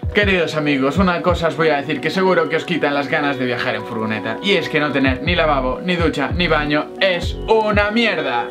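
Clear music plays in the background as a man talks at a fairly quick pace with hardly any pauses. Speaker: vlogger. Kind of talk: casual vlog chat. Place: home room. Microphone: camera far.

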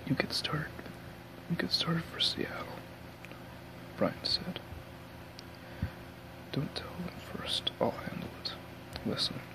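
A man whispers, soft-spoken, at a fairly slow pace with long, frequent pauses. Noticeable background noise is present. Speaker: audiobook reader. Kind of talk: reading a novel aloud. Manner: soft whispered book reading. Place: home room. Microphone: earbuds.

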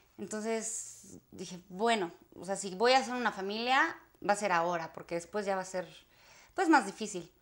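A woman talks with lively intonation at a moderate pace. The background is quiet. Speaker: actress. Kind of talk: interview. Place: home room.

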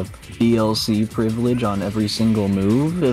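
A man's voice over faint background music. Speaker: streamer playing a fighting game. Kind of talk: gameplay commentary. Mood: frustrated, ranting. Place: home room. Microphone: headset.

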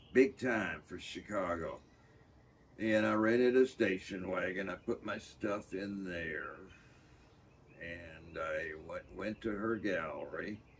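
A man with an American accent at a very slow pace, over light background noise. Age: 80s+. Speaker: painter and art professor; navy veteran. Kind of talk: interview answer. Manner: casual, halting with fillers. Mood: animated storytelling, acts out quotes. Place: workshop. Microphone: camera far.

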